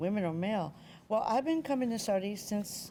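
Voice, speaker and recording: This woman's tone is dark and mellow. Her pitch varies in an ordinary way. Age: 70s. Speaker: Broadway press agent and producer. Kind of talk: interview.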